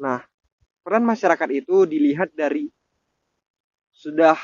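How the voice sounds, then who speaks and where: Pitch varying in an ordinary way, a man talks at a moderate tempo. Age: 20s. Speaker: university student. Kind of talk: student discussion podcast. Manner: formal.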